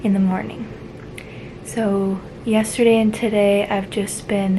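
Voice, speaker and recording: A woman speaks quietly at a fairly slow pace, her medium pitch held in a monotone, flat intonation. Noticeable background noise can be heard. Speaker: vlogger. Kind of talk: casual vlog update.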